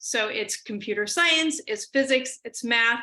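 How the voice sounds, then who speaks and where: A woman's raised, projected voice in an American accent, bright and sharp, with ordinary pitch variation at a fairly slow pace. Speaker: computer science professor giving a keynote. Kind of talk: lecture. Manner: trying to speak slowly.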